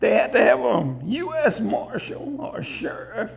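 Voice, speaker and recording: Noticeable background noise is present. Over it, a man talks fairly slowly. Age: 60s. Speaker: museum owner and guide. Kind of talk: museum tour interview.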